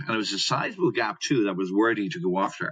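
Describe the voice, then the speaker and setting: With an Irish accent, a man talks fairly quickly at a medium pitch. His tone is bright and sharp, and his intonation lively. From Ireland. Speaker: customer experience educator, company founder. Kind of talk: podcast interview.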